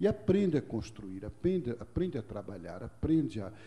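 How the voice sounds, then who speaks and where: The voice has a dark, mellow tone and is somewhat breathy, moving at a moderate pace with very wide pitch swings. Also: man. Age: 60s. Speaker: monk and speaker on culture of peace. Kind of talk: lecture. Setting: stage with audience. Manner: conversational.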